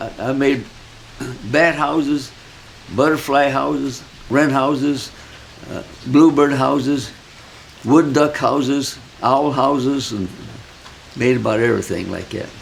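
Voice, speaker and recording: Over noticeable background noise, a man with a Midwestern American accent speaks with long, frequent pauses. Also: fairly high pitch for a man, fairly even intonation, fairly slow pace. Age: 80s+. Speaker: retired hobby woodworker. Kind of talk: interview answer, shop tour.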